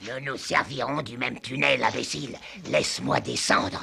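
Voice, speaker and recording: In a put-on character voice, a man speaks at a moderate pace, raspy and medium-pitched, with lively intonation. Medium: fan dub. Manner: bossy, irritable.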